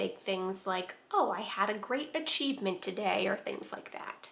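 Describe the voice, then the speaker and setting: A woman speaks at a medium pitch and a fairly slow pace. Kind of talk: casual talk to camera. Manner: soft-spoken, calming.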